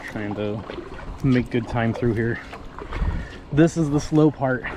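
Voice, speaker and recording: At a fairly slow pace, a man speaks with ordinary pitch variation over noticeable background noise. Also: medium pitch for a man. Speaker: kayak vlogger. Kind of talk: casual vlog narration. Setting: outdoors on a river, paddling.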